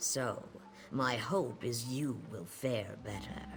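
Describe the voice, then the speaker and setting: Through clear background noise, a man speaks very slowly in a put-on character voice of medium pitch. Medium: video game. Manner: measured, solemn.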